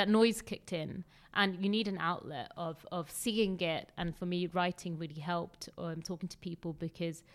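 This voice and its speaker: Speaking at a moderate pace with hardly any pauses, a woman uses a fairly low voice and fairly even intonation. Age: 30s. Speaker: miscarriage survivor sharing her story. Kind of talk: personal testimony in interview. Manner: halting, many fillers.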